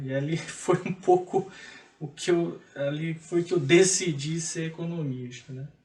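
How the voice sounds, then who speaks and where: A man's voice, high in pitch. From Maranhão, Brazil. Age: 30s. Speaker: economist and public auditor. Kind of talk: TV interview.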